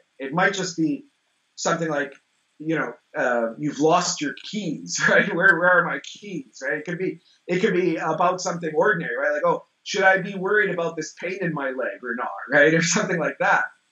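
In a quiet background with audible room echo, a man speaks at a fairly quick pace, high in pitch, with ordinary pitch variation. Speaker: interview guest, teacher of the practice. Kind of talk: interview answer. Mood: relaxed, amused. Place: home room. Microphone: video call.

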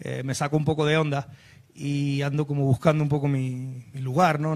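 A man's fairly high voice at a fairly quick clip, with fairly even intonation over a quiet background. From Spain. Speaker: singer-songwriter, writer and actor; actor. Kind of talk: talk show interview. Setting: TV studio set. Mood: reflective, candid. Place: studio. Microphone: handheld.

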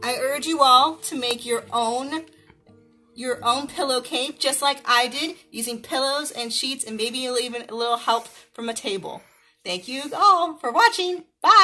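Over music in the background, a woman uses a raised, projected voice with big swings in loudness and ordinary pitch variation. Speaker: educator reading a storybook. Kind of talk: children's story reading. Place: home room.

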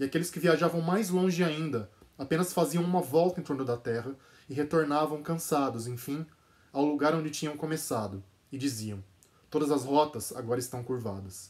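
A man's solemn, dramatic tone at a fairly high pitch and moderate pace, with lively intonation and a Brazilian accent. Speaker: translator and channel host. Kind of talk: dramatic narration reading aloud a literary passage. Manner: solemn, dramatic, measured; casual, enthusiastic in intro. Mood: calm, measured narration. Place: home room. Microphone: phone near.

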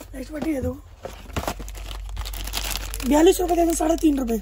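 A man speaks at a moderate pace with extremely high pitch and a dark, mellow tone. His pitch varies in an ordinary way, over faint background noise.

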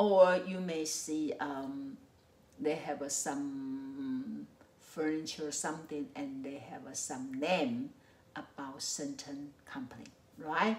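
A woman with a Mandarin accent speaks at a very slow pace in a very deep, low pitch. Her loudness swings widely while her pitch variation stays ordinary. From Taiwan. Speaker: psychology professor. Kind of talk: lecture. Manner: hesitant with frequent fillers. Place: home room.

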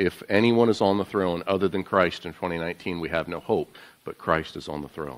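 At a moderate pace, a man talks in a very deep, low voice with ordinary pitch variation. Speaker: pastor giving welcome. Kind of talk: sermon. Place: church.

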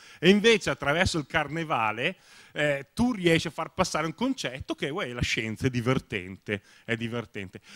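In a Lombard accent, a man with a fairly high pitch speaks with very wide pitch swings, the sound dry and close with no echo. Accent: Bergamo. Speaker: science blogger. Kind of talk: panel talk. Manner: hesitant, many fillers.

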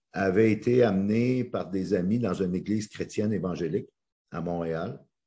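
Against a quiet background, a man with a fairly low pitch speaks at a very slow pace, with lively intonation and a dark, mellow tone. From Quebec. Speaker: motivational speaker and coach. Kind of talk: interview. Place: home room. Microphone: video call.

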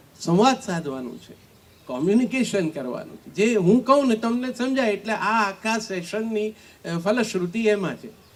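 Lively intonation with big swings in loudness. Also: man, high pitch for a man. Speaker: poet and former radio announcer. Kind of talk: panel discussion.

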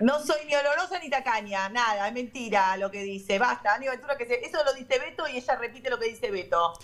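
Talking very fast and hardly pausing, a woman uses a high voice with lively intonation. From Argentina. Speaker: radio host. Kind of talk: casual chat. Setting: remote call from a radio studio. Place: studio. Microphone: video call.

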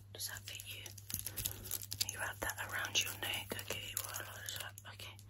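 Loud background noise fills the recording. A woman talks over it at a moderate pace. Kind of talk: soft personal-attention role-play chat. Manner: soft, close, intimate ASMR voice. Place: home room. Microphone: phone near.

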